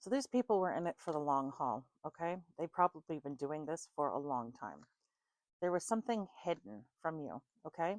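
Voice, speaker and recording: A woman's very deep, low pitch with very wide pitch swings at a moderate pace. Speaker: tarot card reader. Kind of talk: tarot reading. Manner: casual, conversational.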